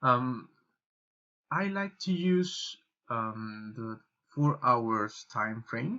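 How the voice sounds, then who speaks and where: A man with a Spanish accent speaks at a very slow pace in a medium pitch, with lively intonation and long, frequent pauses. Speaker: trading YouTuber. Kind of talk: tutorial. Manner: halting, many fillers and repetitions.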